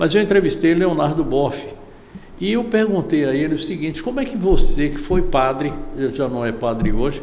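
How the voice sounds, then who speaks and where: The voice moves through very wide pitch swings at a moderate pace, with noticeable background noise and audible room echo. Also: man, fairly high pitch for a man. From Salvador, Bahia, Brazil. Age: 70s. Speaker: veteran journalist and interviewer. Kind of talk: interview.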